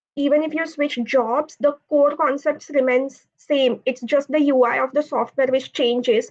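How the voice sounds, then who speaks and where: A woman with a Marathi accent, a high pitch, a moderate pace, fairly even intonation and hardly any pauses. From India, Pune. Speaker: automotive engineer, college alumna. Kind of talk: panel Q&A answer.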